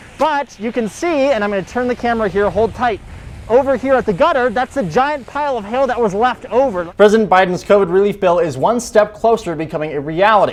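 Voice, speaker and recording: A man with a high-pitched voice talks very fast and with lively intonation over noticeable background noise. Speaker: TV news reporter and anchor. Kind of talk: TV news stand-up report.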